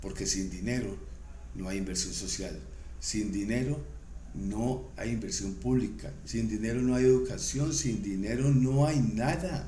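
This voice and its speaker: A man's fairly low voice makes very wide pitch swings at a fairly slow pace. Noticeable background noise and audible room echo fill the recording. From Colombia. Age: 60s. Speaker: commentator on economics and politics. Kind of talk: vlog monologue. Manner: halting, with fillers.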